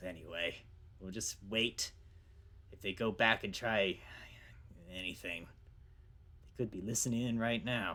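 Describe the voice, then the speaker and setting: In a put-on character voice, a man sounds raspy at a fairly low pitch. He moves at a moderate pace with long, frequent pauses. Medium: actual play. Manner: condescending.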